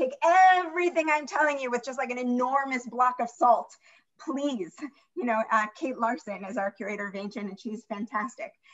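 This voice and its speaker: This woman keeps a moderate speed. She shows ordinary pitch variation. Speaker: museum curator and moderator. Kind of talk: slide presentation in online talk. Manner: animated.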